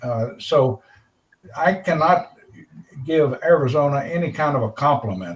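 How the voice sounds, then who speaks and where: Here a man speaks with a fairly high pitch and a somewhat breathy quality. His intonation is lively. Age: 80s+. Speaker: computer club member. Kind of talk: casual chat. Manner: halting.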